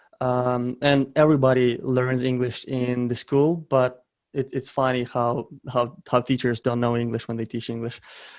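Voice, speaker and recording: A man in a Ukrainian accent talks at a moderate pace and medium pitch. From western Ukraine (Ternopil). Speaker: e-commerce entrepreneur. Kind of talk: interview. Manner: hesitant with frequent fillers and repetitions.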